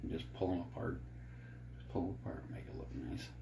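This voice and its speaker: A man talks with a very deep, low pitch. Audible room echo surrounds his voice. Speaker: fishing jig maker. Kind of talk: tutorial. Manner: low-energy, subdued; soft-spoken.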